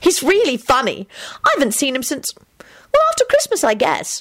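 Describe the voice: A woman's shrill, high-pitched put-on character voice, fairly bright in tone, with very wide pitch swings at a moderate pace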